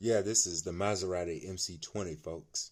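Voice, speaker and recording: A man's very deep, low voice at a moderate pace, with fairly even intonation, on a very clean recording with a silent background. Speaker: diecast collector video creator. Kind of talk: unboxing review. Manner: casual, laid-back. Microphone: new mic.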